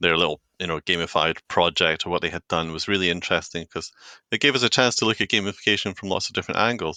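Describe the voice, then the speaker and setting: Speaking very fast in a Scottish accent, a man with a very deep, low voice and a bright, sharp tone keeps ordinary pitch variation, recorded with a dry, close sound, no echo and a quiet background. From Scotland, Edinburgh. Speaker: corporate training designer. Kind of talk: podcast interview.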